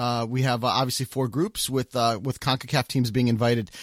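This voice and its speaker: Recorded very cleanly with a silent background and a dry, close sound with no echo, a man talks in a plain, everyday voice at a medium pitch and moderate pace with fairly even intonation. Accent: American. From United States. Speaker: soccer podcast host. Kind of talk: casual chat.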